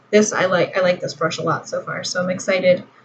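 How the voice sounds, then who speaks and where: Monotone, flat intonation from a woman at a medium pitch. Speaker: beauty vlogger. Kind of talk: makeup tutorial. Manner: soft-spoken; casual, rambling with fillers.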